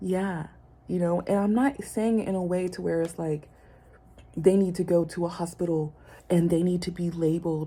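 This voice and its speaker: The woman's voice sits fairly low and sounds somewhat breathy. Her pace is moderate and her intonation fairly even. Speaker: vlogger. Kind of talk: personal vlog monologue. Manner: hesitant, many fillers.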